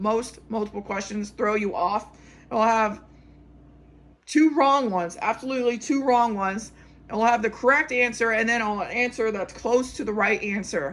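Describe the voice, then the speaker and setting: In a normal speaking voice, a woman talks at a moderate pace with a fairly high pitch and ordinary pitch variation on a very clean recording with a silent background. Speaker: pharmacy technician exam tutor. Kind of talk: tutorial. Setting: recording at a whiteboard.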